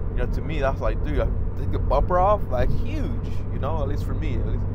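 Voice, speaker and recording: A man talks at a very fast pace, the sound dry with no echo, under loud background noise. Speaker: car owner vlogger. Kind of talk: casual vlog chat. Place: car. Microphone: lapel.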